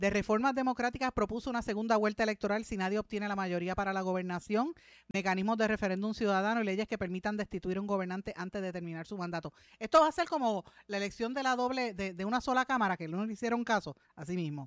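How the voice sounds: Speech comes at a fast pace with ordinary pitch variation. The tone is clear and smooth, and the sound is dry and close with no echo.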